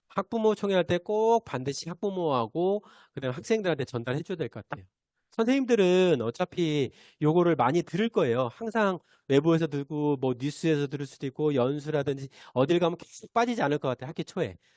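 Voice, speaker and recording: With lively intonation and a fairly high pitch, a man is recorded dry and close with no echo against a quiet background. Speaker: teacher giving teacher training. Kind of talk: online training lecture. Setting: video call. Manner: fast; hesitant fillers.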